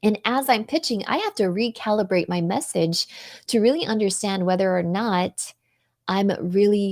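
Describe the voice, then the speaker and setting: An animated tone with ordinary pitch variation, in a dry, close sound with no echo and a very clean recording over a silent background. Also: woman. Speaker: marketing and communication expert, NLP coach. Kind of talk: interview on a live show. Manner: fast.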